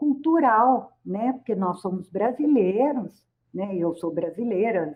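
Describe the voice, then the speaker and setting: Speaking at a very slow pace, a woman makes very wide pitch swings. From Brazil, rural São Paulo state. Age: 60s. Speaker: psychologist and professor. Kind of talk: radio interview. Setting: radio studio.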